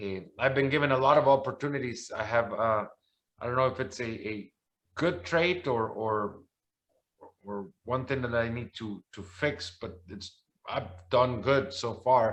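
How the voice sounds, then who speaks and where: A man with a Spanish accent talks at a medium pitch, his loudness swinging widely. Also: ordinary pitch variation, fairly slow pace. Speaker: soccer commentator. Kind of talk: interview. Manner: halting, many repeated words.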